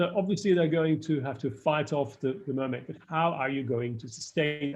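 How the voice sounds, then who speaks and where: A man's fairly high-pitched, somewhat breathy voice with a non-native accent. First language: not English. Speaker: screenwriting lecturer. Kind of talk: live online workshop feedback. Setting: live stream. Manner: halting, many fillers and restarts.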